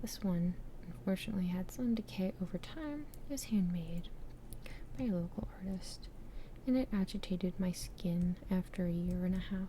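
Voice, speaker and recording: A woman speaks at a moderate pace with a medium pitch and ordinary pitch variation. Her voice is somewhat breathy, with a dark, mellow tone. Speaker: ASMR creator. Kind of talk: ASMR trinket show-and-tell. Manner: whispered, soft-spoken.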